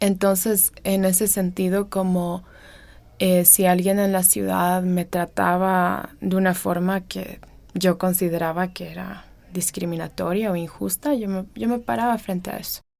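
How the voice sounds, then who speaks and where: In a very clean recording over a silent background, a woman speaks at a fairly slow pace. Her pitch is medium and her intonation fairly even. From Ecuadorian Amazon (Sarayaku community). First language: Kichwa (also Swedish) (speaking Spanish). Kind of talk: personal testimony interview. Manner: hesitant, many fillers.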